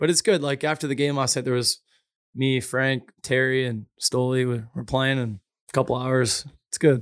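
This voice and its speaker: The sound is dry and close with no echo. A man with a plain, everyday voice speaks at a moderate pace, medium pitch and fairly even intonation. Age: 20s. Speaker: professional hockey player. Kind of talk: casual chat.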